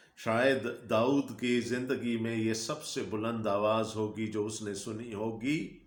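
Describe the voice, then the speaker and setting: A man's monotone, flat intonation sits at a medium pitch. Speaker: pastor, Bible preacher. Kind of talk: sermon.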